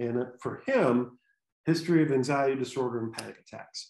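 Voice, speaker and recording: Audible room echo is heard in the recording. A man talks with ordinary pitch variation. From Michigan. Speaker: sports neurologist; presenter. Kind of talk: lecture. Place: home room. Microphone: webcam.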